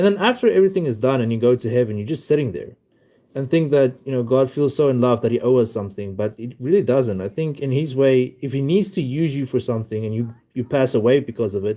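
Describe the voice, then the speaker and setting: A man talks very fast with a non-native accent and ordinary pitch variation. His tone is dark and mellow. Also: medium pitch for a man. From South Africa. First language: not English. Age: 20s. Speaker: livestreamer. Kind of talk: live stream chat. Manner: halting. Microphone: new mic.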